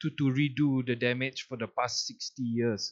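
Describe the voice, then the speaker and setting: Here a man speaks at a medium pitch. He goes at a fairly slow pace. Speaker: podcast host. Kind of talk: casual chat.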